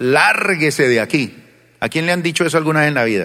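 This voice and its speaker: This man sounds animated, his fairly high voice carrying a bright, sharp tone. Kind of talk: sermon. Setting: church with congregation. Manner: animated, rhetorical, question-and-answer style with congregation; colloquial, folksy, mixing humor with exhortation.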